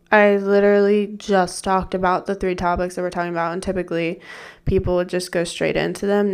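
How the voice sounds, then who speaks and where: Over music in the background, a woman speaks in a medium pitch. Her intonation is monotone and flat. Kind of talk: casual solo podcast monologue. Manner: casual, chatty, self-deprecating.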